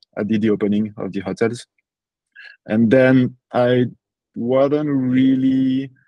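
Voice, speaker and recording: At a fairly slow pace, a man with a strong French accent speaks at a medium pitch with ordinary pitch variation. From France (Paris). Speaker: property entrepreneur. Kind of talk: podcast interview. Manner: halting, many fillers.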